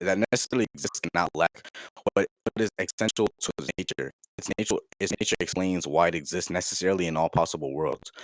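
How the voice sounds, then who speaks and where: Very deep and low, a man's voice moves at a very fast pace with ordinary pitch variation in a dry, close sound with no echo. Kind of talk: casual debate. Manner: stuttering.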